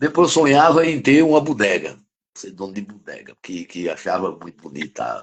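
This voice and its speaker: A man's fairly high-pitched voice with vocal fry, very wide pitch swings and big swings in loudness. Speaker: criminal defense lawyer and professor. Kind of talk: interview conversation. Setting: live stream.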